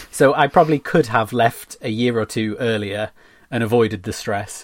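A normal speaking voice with fairly even intonation, in a very clean recording with a silent background and a dry, close sound with no echo. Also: man. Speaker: graphic designer. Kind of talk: casual interview.

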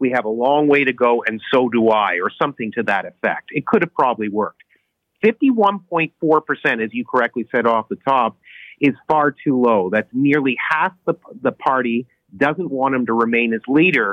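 With a Canadian accent, a man talks at a moderate pace in an unremarkable speaking voice, his medium pitch carried by lively intonation. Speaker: political columnist. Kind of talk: interview.

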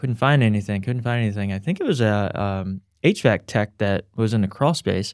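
At a fairly quick pace, a man speaks at a fairly low pitch in a very clean recording with a silent background. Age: 40s. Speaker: home inspection business owner. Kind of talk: casual interview. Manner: halting, many fillers.

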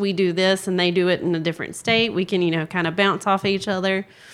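In a Southern US accent, a woman with a medium pitch races along at a very fast pace in a monotone, flat intonation. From South Carolina, US South. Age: 20s. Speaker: paralegal. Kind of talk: casual interview. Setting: recorded at a conference.

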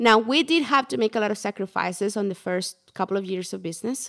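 The speaker has a Spanish accent and a fairly quick pace, with ordinary pitch variation. The recording is very clean, the background silent. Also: woman. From Mexico. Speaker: portrait photographer, former teacher. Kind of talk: interview.

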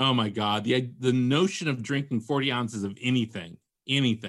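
A man talks at medium pitch and a moderate pace, with an ordinary speaking voice and ordinary pitch variation. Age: 50s. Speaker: novelist and podcaster. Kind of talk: casual interview chat. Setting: podcast interview.

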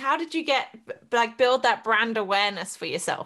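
A woman speaks in a raised, projected voice with a bright, sharp tone, very wide pitch swings and an animated delivery. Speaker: podcast host and business coach. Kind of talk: casual interview chat. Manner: animated, excitable.

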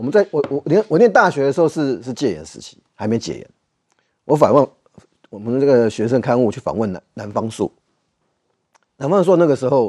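A man with a Taiwanese accent and a dark, mellow tone talks at a fairly quick pace in a medium pitch, with very wide pitch swings, big swings in loudness and long, frequent pauses, recorded dry and close with no echo. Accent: Taiwanese Mandarin. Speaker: political commentator. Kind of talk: political talk show.

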